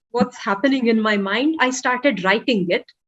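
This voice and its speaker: A woman with a Telugu accent. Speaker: author. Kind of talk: interview. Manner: hesitant, many fillers.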